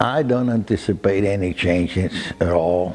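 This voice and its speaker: There is noticeable background noise. Through it, a man speaks with a very deep, low pitch. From Cuba. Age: 80s+. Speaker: cigar shop owner. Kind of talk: documentary interview. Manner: halting, repeats words.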